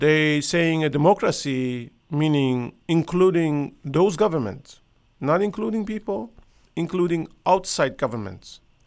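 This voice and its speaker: In a very clean recording with a silent background, a man with a Persian accent speaks with a fairly high pitch and lively intonation. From Iran. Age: 60s. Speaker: podcaster. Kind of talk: casual monologue. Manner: halting.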